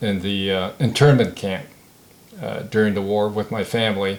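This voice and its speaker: Fairly low male speech, moderately paced and fairly even in intonation. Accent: Californian. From San Diego, California. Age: 70s. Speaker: war veteran. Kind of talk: oral history interview. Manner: halting, many fillers.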